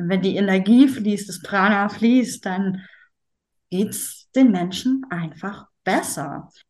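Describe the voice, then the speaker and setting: At a very slow pace, a woman speaks with medium pitch and ordinary pitch variation. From northern Germany, Schleswig-Holstein. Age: 40s. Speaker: yoga teacher. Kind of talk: interview.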